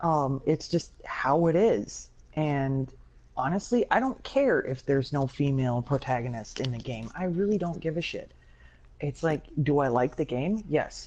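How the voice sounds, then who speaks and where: A woman speaks with a dark, mellow tone and a very deep, low pitch. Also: lively intonation, moderate pace. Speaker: gaming podcast host. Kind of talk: casual podcast discussion. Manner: animated.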